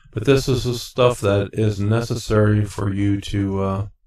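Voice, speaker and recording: Fairly low, somewhat breathy male voice with monotone, flat intonation on a very clean recording with a silent background. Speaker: CDL exam tutorial maker. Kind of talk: tutorial. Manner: halting, many fillers. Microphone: new mic with reverb.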